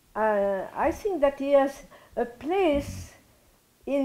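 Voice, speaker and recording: The woman's voice sits high in pitch. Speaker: interviewee. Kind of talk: interview answer. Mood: reflective, warm. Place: home room. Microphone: lapel.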